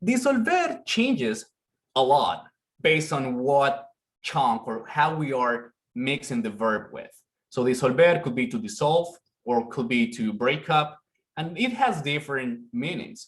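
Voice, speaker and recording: Speaking fairly slowly with a Spanish accent, a man with a fairly high pitch sounds somewhat breathy, his intonation lively. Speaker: conference presenter. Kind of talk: academic presentation.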